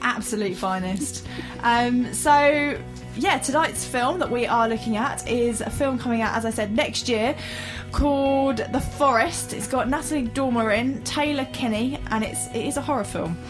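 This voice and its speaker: Music plays in the background as a woman speaks at a high pitch. Her pace is moderate and her pitch varies in an ordinary way. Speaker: community radio presenter. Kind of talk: casual radio banter.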